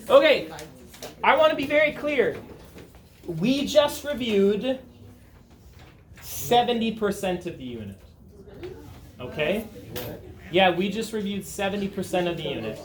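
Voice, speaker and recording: The voice swings very widely in pitch and greatly in loudness, at a moderate pace with long, frequent pauses. Audible room echo is present. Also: man, high pitch for a man. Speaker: high school chemistry teacher. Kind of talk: classroom lecture. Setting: classroom with students.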